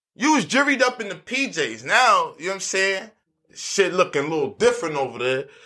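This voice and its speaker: A man's raised, projected voice, high in pitch, bright and sharp, with very wide pitch swings at a fairly quick pace. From Harlem, New York City. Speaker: podcast host. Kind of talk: casual chat. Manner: animated.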